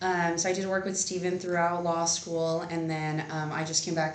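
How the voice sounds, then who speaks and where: A woman speaks at a fairly low pitch with monotone, flat intonation. Audible room echo and noticeable background noise surround her voice. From Texas, Rio Grande Valley (Edinburg). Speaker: lawyer. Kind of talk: interview. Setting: law office.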